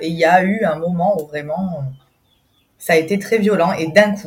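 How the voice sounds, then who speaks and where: Somewhat breathy woman's voice with ordinary pitch variation. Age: 30s. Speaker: mother sharing birth story. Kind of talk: testimony. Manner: hesitant, many fillers.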